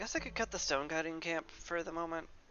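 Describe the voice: Bright and sharp in tone, the voice goes at a fast pace with ordinary pitch variation.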